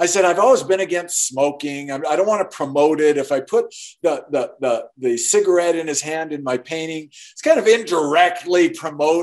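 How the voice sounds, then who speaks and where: A man at a moderate pace with hardly any pauses, ordinary pitch variation and big swings in loudness, in a quiet background. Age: 60s. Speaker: artist and author; interview guest. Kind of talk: interview. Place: home room. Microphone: video call.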